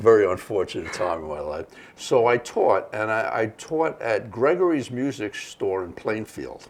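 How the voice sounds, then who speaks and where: A man with a New York accent talks at a moderate pace and medium pitch, making very wide pitch swings. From New York City (Bronx, Brooklyn). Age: 70s. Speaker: jazz musician. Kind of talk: casual interview chat.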